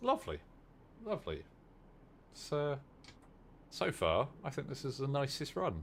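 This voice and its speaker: Speaking in a West Country accent, a man goes at a fairly slow pace with long, frequent pauses. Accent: southern English, West Country. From southern England, Dorset. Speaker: gaming streamer. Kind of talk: live gameplay commentary. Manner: casual, halting.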